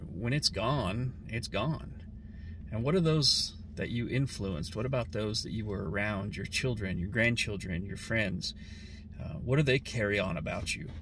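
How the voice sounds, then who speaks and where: Medium-pitched male speech with lively intonation and long, frequent pauses, dry with no echo, over noticeable background noise. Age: 40s. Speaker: vlogger. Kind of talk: personal reflection monologue. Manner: halting. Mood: thoughtful, reflective. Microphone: phone near.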